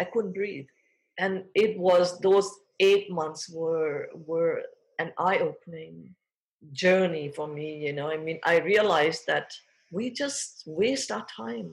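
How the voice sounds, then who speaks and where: A woman is speaking. Her pace is very slow. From Thailand. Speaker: fashion designer. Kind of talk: interview.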